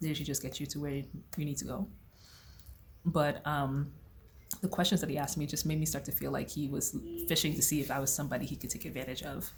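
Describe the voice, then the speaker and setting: Speaking at a very fast pace with long, frequent pauses, a woman has a very deep, low pitch and a somewhat breathy voice. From United States. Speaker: vlogger. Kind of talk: casual vlog talk. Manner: animated.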